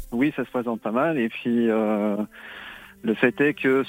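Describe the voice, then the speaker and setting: A man with medium pitch and ordinary pitch variation keeps to a moderate pace. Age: 50s. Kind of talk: phone-in call to a psychic radio show. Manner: halting, many hesitations.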